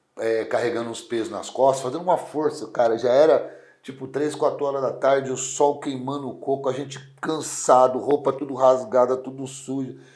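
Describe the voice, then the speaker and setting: A man speaks at a moderate pace in a medium pitch, his loudness swinging widely. Noticeable background noise sits behind him. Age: 40s. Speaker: strongman athlete. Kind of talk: interview. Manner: casual, lively storytelling.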